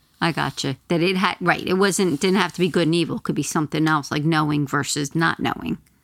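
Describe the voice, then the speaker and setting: A woman with a very deep, low voice talks at a very fast pace with hardly any pauses and very even loudness. The recording is very clean, with a silent background. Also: ordinary pitch variation. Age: 50s. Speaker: former teacher. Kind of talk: casual chat.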